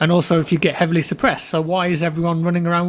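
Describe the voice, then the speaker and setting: Very fast speech comes through noticeable background noise. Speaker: gaming commentator. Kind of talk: gameplay commentary. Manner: casual, conversational.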